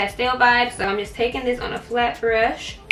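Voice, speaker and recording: There is noticeable background noise behind a woman's voice. She speaks at a high pitch with fairly even intonation. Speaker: beauty vlogger. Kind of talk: tutorial. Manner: casual.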